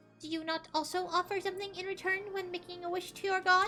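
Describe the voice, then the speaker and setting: A woman's squeaky put-on character voice, extremely high, very fast, and flat and monotone in intonation. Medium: game stream. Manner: clinical, matter-of-fact.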